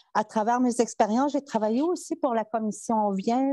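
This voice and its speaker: The sound is dry and close with no echo as a woman with a high pitch and a dark, mellow tone speaks at a moderate pace. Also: quiet background. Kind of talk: conference talk. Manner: halting, many hesitations.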